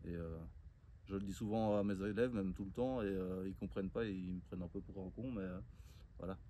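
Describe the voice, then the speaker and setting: A man's very deep, low voice with a dark, mellow tone, a fairly quick pace, long, frequent pauses and audible room echo. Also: ordinary pitch variation. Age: 30s. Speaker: woodworking and permaculture vlogger. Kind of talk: casual outdoor tutorial vlog. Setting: outdoors. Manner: hesitant, many fillers.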